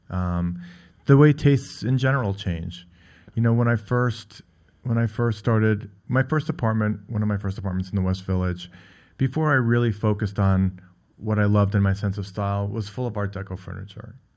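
In a plain, everyday voice, a man with an American accent talks at a fairly quick pace and fairly low pitch with ordinary pitch variation, on a very clean recording with a silent background. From New York. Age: 50s. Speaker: furniture gallery owner and designer. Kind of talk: radio interview.

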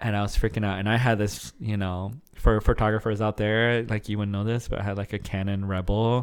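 A man with an American accent speaks at a fairly quick pace with hardly any pauses, his fairly low voice monotone and flat. The recording is very clean, with a silent background. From Arizona. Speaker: wedding photographer. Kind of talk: casual chat.

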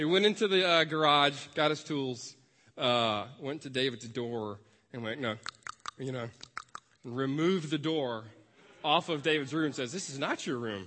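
A man speaks at a fairly slow pace with a Memphis accent. His pitch varies in an ordinary way, and he leaves long, frequent pauses. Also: fairly high pitch for a man. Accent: Southern American (Memphis). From US South, Memphis, Tennessee. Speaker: pastoral resident. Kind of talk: sermon. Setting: church.

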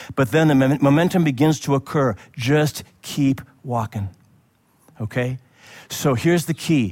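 A medium-pitched man's voice at a fairly slow pace, with ordinary pitch variation, in a very clean recording with a silent background. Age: 60s. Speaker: pastor. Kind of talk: sermon. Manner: animated.

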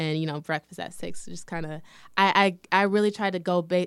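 In a very clean recording with a silent background, a woman with an American accent talks very fast in a fairly low voice with ordinary pitch variation. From Lansing, Michigan. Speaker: lingerie entrepreneur. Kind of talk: casual interview.

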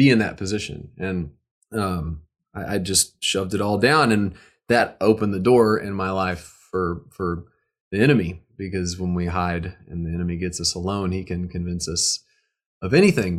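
In an American accent, a man with a very deep, low pitch talks at a moderate pace with ordinary pitch variation. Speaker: musician and recording artist. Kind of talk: casual interview chat. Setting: online video call. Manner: joking, playful.

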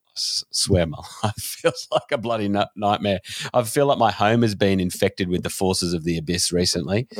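With an Australian accent, a man talks at a moderate pace in a fairly low pitch with ordinary variation, the sound dry and close with no echo. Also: very clean recording, silent background. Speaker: podcast host. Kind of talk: casual chat.

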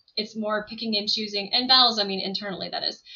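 Her pace fairly quick, a woman speaks at a medium pitch. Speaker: edtech product and marketing leader. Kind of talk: interview conversation. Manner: fast.

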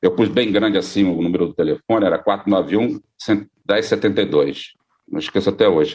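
A man with a Rio accent speaks at a fairly slow pace. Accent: Brazilian Portuguese (Carioca), unchanged. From Brazil, Rio de Janeiro. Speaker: radio founder and former broadcaster. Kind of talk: interview, casual reminiscing.

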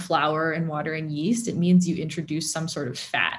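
On a very clean recording with a silent background, a woman with a General American accent speaks in a somewhat breathy voice. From Southern California. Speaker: food blogger. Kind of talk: interview.

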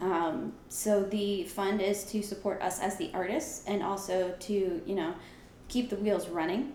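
A woman speaks at a medium pitch and a fairly slow pace, with ordinary pitch variation and very even loudness, amid noticeable background noise and audible room echo. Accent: American. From New York and New Jersey. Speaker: artist. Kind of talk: casual interview.

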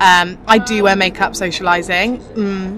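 Noticeable background noise sits behind this woman. Her pitch varies in an ordinary way. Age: 20s. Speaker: fashion editor. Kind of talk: casual chat. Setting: outdoors.

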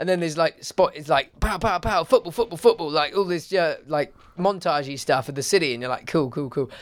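Speaking fairly quickly with hardly any pauses, a man with an English accent uses a high pitch and ordinary pitch variation on a very clean recording with a silent background. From England. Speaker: podcast host. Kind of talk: casual chat.

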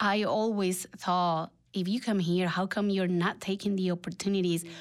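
Monotone, flat intonation at a fairly slow pace, in a Mexican accent. The recording is very clean, with a silent background. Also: woman. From Mexico. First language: Spanish. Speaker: real estate investor, former nanny. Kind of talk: casual interview chat.

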